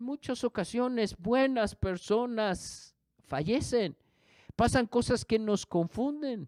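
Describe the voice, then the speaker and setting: Very slow speech in a very clean recording with a silent background, the sound dry and close with no echo. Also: man, extremely high pitch for a man, ordinary pitch variation. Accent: British. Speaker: pastor. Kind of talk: sermon.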